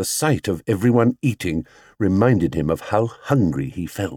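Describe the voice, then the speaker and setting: A man with a fairly low pitch speaks at a moderate pace in an animated tone, with very wide pitch swings. The sound is dry and close with no echo, on a very clean recording with a silent background. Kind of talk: audiobook reading of a children's story. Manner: animated, voicing different characters.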